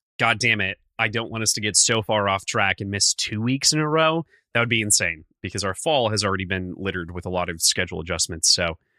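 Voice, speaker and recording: At a very fast pace with hardly any pauses, a man speaks with lively intonation and a bright, sharp tone in a dry, close sound with no echo on a very clean recording with a silent background. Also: fairly low pitch for a man. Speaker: podcast co-host. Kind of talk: casual chat; scripted intro.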